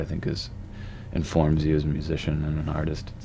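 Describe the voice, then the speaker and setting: A man with a very deep, low voice and an American accent speaks at a fairly quick pace amid audible room echo. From US East Coast. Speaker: indie rock musician. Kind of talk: casual interview. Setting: studio. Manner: halting, repeats words.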